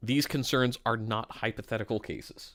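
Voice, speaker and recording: A man mumbles at a fairly slow pace with fairly even intonation. The recording is very clean with a silent background. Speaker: streamer reacting to news documents. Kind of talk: live stream commentary with reading aloud. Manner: mumbling.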